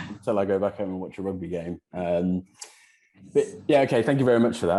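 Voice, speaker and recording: Over a silent background in a very clean recording, a man speaks with a very deep, low pitch and a dark, mellow tone. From Wales. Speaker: property channel host. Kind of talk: interview. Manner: hesitant, many fillers.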